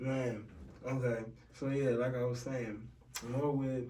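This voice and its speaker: The speech comes at a moderate pace in a monotone, flat intonation, with audible room echo and noticeable background noise. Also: man. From Washington DC. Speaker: podcast host. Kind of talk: casual chat.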